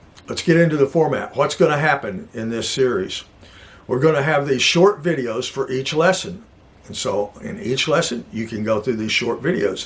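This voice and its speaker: Somewhat breathy, a man speaks at a fairly high pitch and a moderate pace. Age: 70s. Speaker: Bible teacher. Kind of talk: teaching talk. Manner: casual, rambling.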